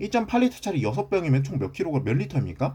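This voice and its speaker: Against a quiet background, a man talks very fast in a dark, mellow tone with vocal fry and very wide pitch swings. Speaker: math teacher. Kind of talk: lecture.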